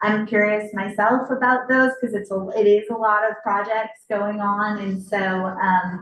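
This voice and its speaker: Her fairly high voice stays monotone, with flat intonation throughout. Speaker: city official. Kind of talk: public Q&A at community meeting. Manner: loud.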